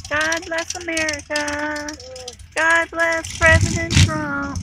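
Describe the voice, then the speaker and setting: Clear music sits behind a woman's raised, projected voice as she speaks at a very slow pace, the sound dry with no echo. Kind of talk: casual vlog chat. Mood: cheerful, celebratory. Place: street. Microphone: phone near.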